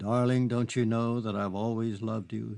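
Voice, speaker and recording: A man talks in a put-on character voice at medium pitch. His intonation is monotone and flat, and his pace is moderate. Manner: charming, pleading.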